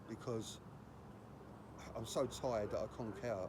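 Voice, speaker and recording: Speaking in a British accent, a man has a dark, mellow tone at medium pitch with fairly even intonation. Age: 60s. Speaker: housing protester, vlogger. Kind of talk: protest vlog to camera. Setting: outdoors outside housing office. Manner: halting, with many restarts.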